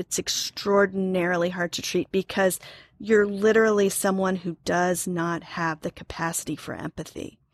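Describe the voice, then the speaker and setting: An unremarkable speaking voice from a woman with an American accent, medium in pitch and moderate in pace, with fairly even intonation, on a very clean recording with a silent background and a dry, close sound with no echo. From Oklahoma. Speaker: psychotherapist. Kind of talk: interview.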